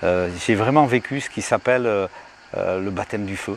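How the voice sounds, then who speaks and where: A man's fairly low voice moves at a moderate pace with ordinary pitch variation, while noticeable background noise runs underneath. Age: 60s. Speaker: evangelist, healing minister. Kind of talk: testimony. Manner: halting, with many fillers.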